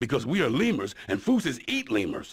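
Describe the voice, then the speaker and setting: Putting on a character voice, a man talks at a fairly quick pace in a fairly high pitch, with very wide pitch swings. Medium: video game. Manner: deadpan, sardonic.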